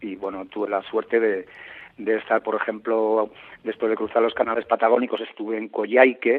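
A man talks at a moderate pace in a medium pitch. His intonation is flat and monotone. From Basque Country, Tolosa. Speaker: traveler and reporter. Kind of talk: interview. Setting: phone call.

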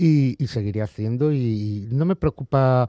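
The recording is very clean, dry and close, with no echo and a silent background. A man speaks with a dark, mellow tone. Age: 40s. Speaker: comic book artist. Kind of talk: interview. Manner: halting, with repetitions.

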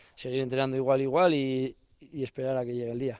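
This man talks at a fairly quick pace with a medium pitch. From Navarre, Spain. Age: 20s. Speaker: professional pelota player. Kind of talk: interview. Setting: on location in his home village. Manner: halting, many fillers.

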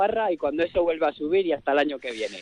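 A man with a high-pitched voice. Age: young. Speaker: festival committee member. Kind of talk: radio interview.

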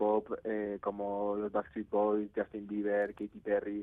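A man talks at a very slow pace. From Spain, Navarre (Pamplona). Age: 20s. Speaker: musician and music producer. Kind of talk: radio interview. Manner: halting, many repetitions.

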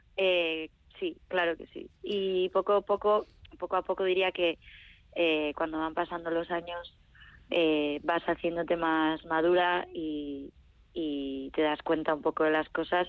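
A woman speaks in a normal speaking voice at a fairly low pitch. Her intonation is fairly even and her pace fairly slow. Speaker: singer-songwriter. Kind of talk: interview.

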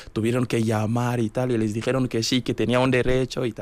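In a monotone with flat intonation, a man talks at a medium pitch and a moderate pace. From Benin, Kérou. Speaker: radio contributor. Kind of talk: radio interview. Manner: halting.

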